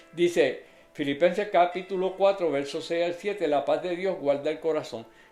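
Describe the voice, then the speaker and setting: Backed by music and audible room echo, a man with a high voice talks at a moderate pace. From Puerto Rico (Adjuntas). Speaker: lay preacher. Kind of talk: sermon.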